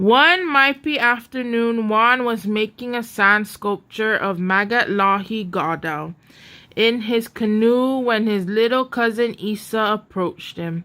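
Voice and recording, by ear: A woman speaks slowly at a fairly high pitch. Her tone is bright and sharp, with ordinary pitch variation.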